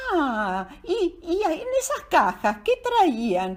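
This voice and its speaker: A woman puts on a character voice at an extremely high pitch. She talks at a very slow pace. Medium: read story. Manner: eager, inquisitive.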